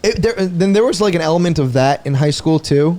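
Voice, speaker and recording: A man's dark, mellow tone carries lively intonation at a fairly quick pace. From Long Island, New York. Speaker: comedian. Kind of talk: casual chat.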